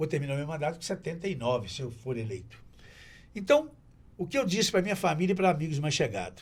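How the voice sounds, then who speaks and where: Very fast and lively, a man's fairly high voice comes through with vocal fry. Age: 70s. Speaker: TV presenter and local politician. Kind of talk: casual chat.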